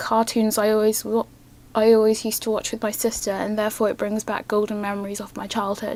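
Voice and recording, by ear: A woman's medium-pitched, slightly mellow voice at a fairly quick pace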